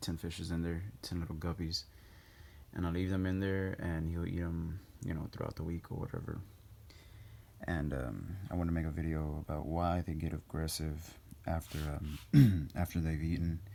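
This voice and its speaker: Speaking at a moderate pace with long, frequent pauses, a man uses a very deep, low pitch, a dark, mellow tone and fairly even intonation. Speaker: animal hobbyist. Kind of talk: casual talk to camera. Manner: hesitant, many fillers.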